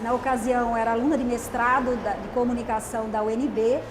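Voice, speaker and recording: Amid noticeable background noise and audible room echo, a woman with a high pitch talks at a moderate pace. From Alagoas, northeastern Brazil (Taquarana). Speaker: journalist and author. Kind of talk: TV interview.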